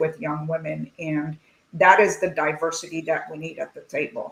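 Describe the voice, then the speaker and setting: A woman talks at a fairly low pitch. Her intonation is monotone and flat. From Lebanon. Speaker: tech executive. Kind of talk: panel discussion. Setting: video call.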